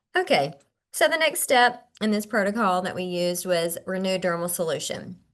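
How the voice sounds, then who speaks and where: This woman has an ordinary speaking voice at a medium pitch. She talks at a moderate pace with lively intonation. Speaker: skincare clinician and trainer. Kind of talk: webinar product presentation. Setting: video call webinar.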